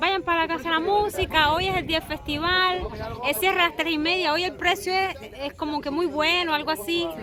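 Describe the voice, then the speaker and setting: A woman's raised, projected voice with an eastern Cuban accent, extremely high pitch, ordinary pitch variation and a fairly quick pace, over noticeable background noise. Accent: eastern Cuban, mistaken for Dominican. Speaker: travel vlogger and guesthouse host. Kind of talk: casual chat.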